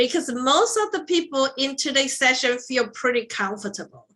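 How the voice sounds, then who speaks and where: A woman with a high pitch and a bright, sharp tone projects her raised voice. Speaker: instructional design workshop facilitator. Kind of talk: online workshop presentation. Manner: many fillers (um, uh).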